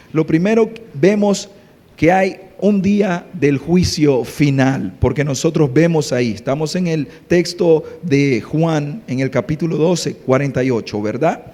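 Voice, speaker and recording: Noticeable background noise sits behind the voice. A man with a fairly high pitch speaks at a fairly slow pace. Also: lively intonation. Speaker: pastor. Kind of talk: sermon. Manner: soft-spoken.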